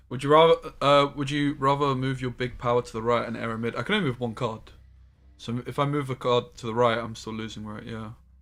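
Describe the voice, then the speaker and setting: A man with a southern English accent, very fast and fairly even in intonation, over music in the background. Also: medium pitch for a man. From southern England. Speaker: game streamer. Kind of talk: live gameplay stream chat. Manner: casual, chatty.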